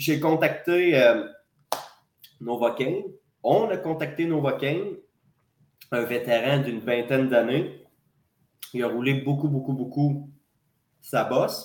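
Speech comes at a very slow pace with long, frequent pauses and ordinary pitch variation. Audible room echo surrounds it. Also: man, fairly high pitch for a man. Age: 30s. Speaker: wrestling promoter and wrestler. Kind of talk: casual interview.

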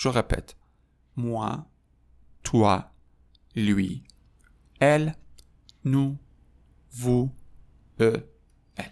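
Long, frequent pauses break up this man's very slow speech. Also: medium pitch for a man, ordinary pitch variation. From Iran. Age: 30s. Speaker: French teacher. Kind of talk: tutorial.

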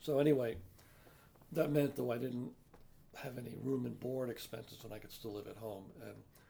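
With an American accent and a dark, mellow tone, a man speaks at a fairly quick pace broken by long, frequent pauses. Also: medium pitch for a man, ordinary pitch variation, big swings in loudness. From New York City (the Bronx). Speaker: retired activist and Irish musician. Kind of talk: interview. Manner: halting.

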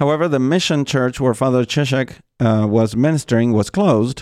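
At a moderate pace, a man with a medium pitch and a dark, mellow tone speaks with ordinary pitch variation, in a dry, close sound with no echo on a very clean recording with a silent background. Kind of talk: narrated talk on a saint's life.

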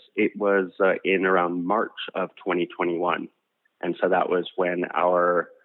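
Monotone, flat intonation with a Canadian accent. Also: man. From Canada, Alberta. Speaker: energy company executive. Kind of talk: interview. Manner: fast.

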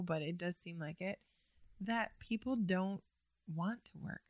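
At a fairly slow pace, a woman speaks with fairly low pitch, ordinary pitch variation and a somewhat breathy sound. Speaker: guest, host's wife. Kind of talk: casual conversation. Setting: studio.

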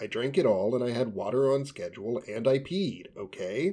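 The intonation is lively as a natural voice reads aloud.

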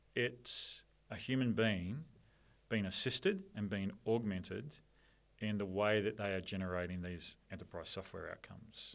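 A man with an Australian accent speaks at a fairly slow pace in a fairly low voice, with ordinary pitch variation, on a very clean recording with a silent background. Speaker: software company director. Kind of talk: casual interview chat.

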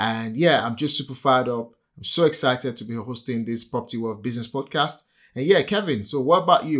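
In a very clean recording with a silent background, a man of medium pitch talks at a very fast pace, his intonation lively and his loudness swinging widely. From Nigeria. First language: a Nigerian language. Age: 40s. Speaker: property entrepreneur and podcast host. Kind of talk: casual chat.

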